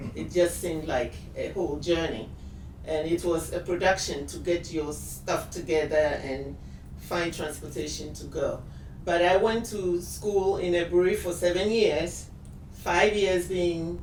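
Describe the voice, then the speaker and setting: Recorded with audible room echo and noticeable background noise, a woman speaks at a fairly slow pace. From Ghana, Accra area (Ga). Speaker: shop owner. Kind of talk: interview.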